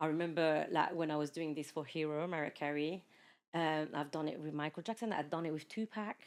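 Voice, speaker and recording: On a very clean recording with a silent background, a woman speaks at a fairly quick pace in a very deep, low pitch. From France, of Mauritian parents. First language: French. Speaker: podcast guest, former teacher, mother. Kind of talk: casual chat. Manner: animated.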